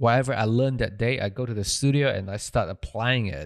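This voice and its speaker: In a very clean recording with a silent background, a man with a Malaysian accent speaks at a moderate pace with ordinary pitch variation. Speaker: audio engineer and podcast producer. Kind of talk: casual interview chat. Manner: halting, with fillers and repeated words.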